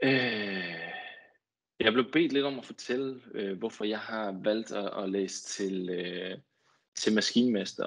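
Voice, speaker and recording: A man speaks very slowly in a fairly low pitch with ordinary pitch variation. The background is quiet. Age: 20s. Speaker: marine engineer, head of engineering. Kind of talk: guest talk. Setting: video call. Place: home room. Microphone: earbuds.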